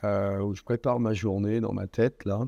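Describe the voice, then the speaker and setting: The man's tone is dark and mellow. Behind him, the background stays quiet. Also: dry, close sound with no echo. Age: 60s. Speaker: business executive. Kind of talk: interview.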